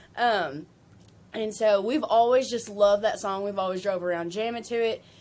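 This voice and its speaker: On a very clean recording with a silent background, a woman speaks with a Southern US accent. Her pitch is fairly high with ordinary variation, and her pace is moderate. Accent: country Southern. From Kentucky. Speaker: country singer-songwriter. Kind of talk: interview chat. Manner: casual, many fillers.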